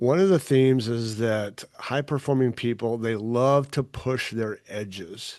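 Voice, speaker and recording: Against a quiet background, a man talks at a fairly slow pace in an ordinary speaking voice with ordinary pitch variation. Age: 50s. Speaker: podcast host and leadership coach. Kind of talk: interview.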